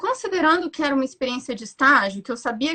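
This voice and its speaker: A woman projects a raised, high-pitched voice at a very fast pace. Her tone is bright and sharp, and her intonation is lively. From Brasília. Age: 30s. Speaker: psychologist. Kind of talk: interview. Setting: video call.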